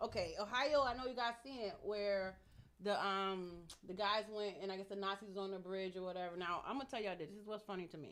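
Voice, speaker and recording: At a fairly quick pace, a woman talks in an animated tone at a medium pitch with ordinary pitch variation. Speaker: podcast host. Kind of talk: casual chat. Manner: fast.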